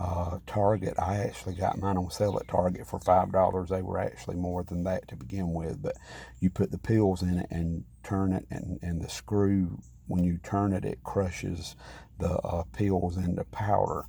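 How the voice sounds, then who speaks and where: Soft-spoken and somewhat breathy, the voice has a dark, mellow tone and fairly even intonation at a moderate pace, on a very clean recording with a silent background. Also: man, very deep, low pitch for a man. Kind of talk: casual vlog talk. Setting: at home beside sleeping mother. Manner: soft-spoken, talking low.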